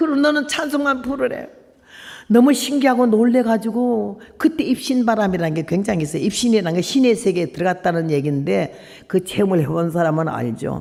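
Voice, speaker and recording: Very wide pitch swings from a woman, her voice fairly high and her pace fairly quick. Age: 80s+. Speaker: missionary preacher. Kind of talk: revival sermon. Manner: emotional, storytelling.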